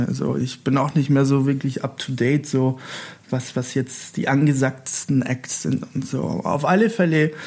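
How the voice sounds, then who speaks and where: At a moderate pace, a man speaks at a medium pitch with ordinary pitch variation and a slight Italian accent. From Italy. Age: 40s. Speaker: festival decoration artist. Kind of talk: casual interview. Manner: halting.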